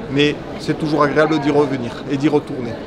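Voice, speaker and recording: There is audible room echo and noticeable background noise. A man speaks in a fairly high pitch with monotone, flat intonation. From southern France. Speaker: trade show exhibitor. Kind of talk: interview.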